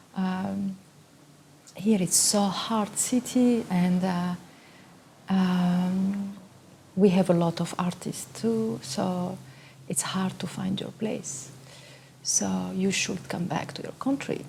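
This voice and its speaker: Over noticeable background noise, a woman at medium pitch speaks very slowly with lively intonation and long, frequent pauses. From Tunisia. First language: Arabic or French. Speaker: photographer and artist. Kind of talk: interview monologue. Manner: halting, many fillers.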